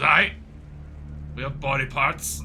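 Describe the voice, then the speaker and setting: A man puts on a character voice. Clear background noise can be heard. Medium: actual play. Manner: gruff, matter-of-fact.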